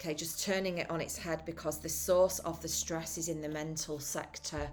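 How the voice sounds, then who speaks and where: With a British accent, a woman speaks at a moderate pace in a very deep, low pitch and a monotone, flat intonation, with noticeable background noise. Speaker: tarot reader. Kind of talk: tarot reading monologue. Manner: halting, self-correcting.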